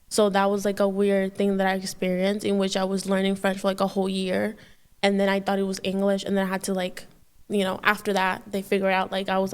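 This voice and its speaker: A woman speaks very fast with a Spanish accent. Her intonation is monotone and flat. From Dominican Republic. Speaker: podcast guest. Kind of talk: casual chat. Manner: halting, many fillers.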